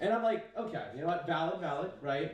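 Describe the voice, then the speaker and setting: In a Chinese accent, a man speaks at a fairly quick pace with a fairly high pitch and very wide pitch swings. Audible room echo surrounds the voice. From US, child of Chinese immigrants. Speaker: comedian. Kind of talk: stand-up. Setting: stage with audience. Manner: casual, lots of fillers.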